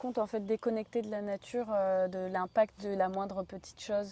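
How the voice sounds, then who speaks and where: On a very clean recording with a silent background, a woman with a medium pitch and a dark, mellow tone speaks in a flat monotone at a fairly quick pace. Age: 30s. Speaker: interviewer, personal development channel host. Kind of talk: interview.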